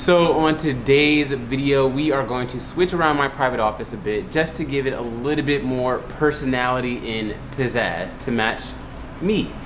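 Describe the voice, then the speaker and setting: A man with an American accent speaks at a moderate pace in an animated tone, his pitch medium. Noticeable background noise and audible room echo fill the recording. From Brooklyn, New York City. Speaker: lifestyle YouTuber. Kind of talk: vlog narration. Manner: loud.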